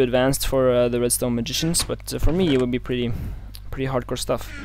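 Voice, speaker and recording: This man has a non-native accent. He talks at a very fast pace. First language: not English. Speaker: gaming let's play youtuber. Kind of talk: casual gameplay commentary. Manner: hesitant, many fillers.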